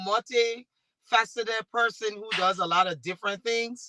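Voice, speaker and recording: A woman with a Liberian accent speaks in a bright, sharp tone, recorded with a dry, close sound and no echo. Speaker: talk show host and MC. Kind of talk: panel discussion.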